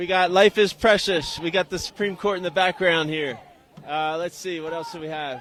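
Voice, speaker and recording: With an American accent and a high pitch, a man talks at a moderate pace with fairly even intonation and big swings in loudness over noticeable background noise. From Philadelphia, US. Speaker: street reporter. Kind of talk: live street interviews. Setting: outdoors at a protest march.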